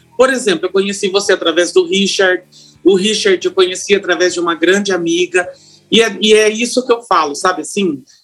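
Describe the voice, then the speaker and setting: Over music in the background, a man with a high pitch talks at a fairly quick pace with ordinary pitch variation. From interior of São Paulo state, São Carlos. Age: 40s. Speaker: hairdresser and salon owner. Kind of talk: casual interview chat.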